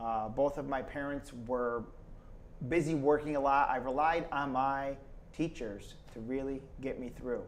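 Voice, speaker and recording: Audible room echo surrounds a man with an American accent who speaks fairly slowly in a fairly high voice with fairly even intonation. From Schenectady, New York, US. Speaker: state politician. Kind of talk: casual interview.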